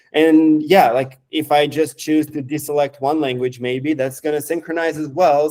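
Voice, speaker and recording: At a moderate pace, a man with a Romanian accent speaks in a dark, mellow tone, with a fairly high pitch and fairly even intonation. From Moldova. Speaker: software developer. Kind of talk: live stream product demo. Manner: halting.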